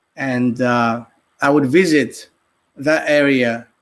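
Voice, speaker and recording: A man speaks very slowly in a Greek accent, his pitch fairly high. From Greece, Athens. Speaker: artist and podcaster. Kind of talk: casual interview. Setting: live stream. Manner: hesitant, many fillers.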